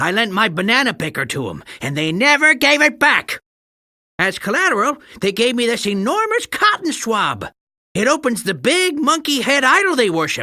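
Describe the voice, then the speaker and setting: A man's put-on character voice, cackling, raised and projected, extremely high, with very wide pitch swings at a moderate pace. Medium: video game. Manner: sarcastic, cackling.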